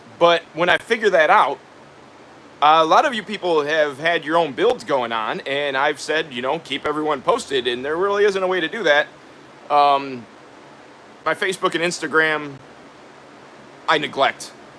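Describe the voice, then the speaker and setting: Amid noticeable background noise, a man with a fairly high pitch talks at a moderate pace with lively intonation and long, frequent pauses. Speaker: DIY builder and YouTuber. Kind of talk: live stream chat reading viewer comments. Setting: live stream from his workshop. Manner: casual, halting with fillers.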